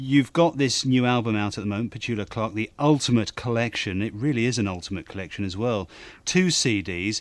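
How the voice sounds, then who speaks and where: A man with a normal speaking voice talks at a fairly quick pace in a medium pitch with ordinary pitch variation. The recording is very clean, with a silent background. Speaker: radio host interviewer. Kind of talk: scripted intro and interview.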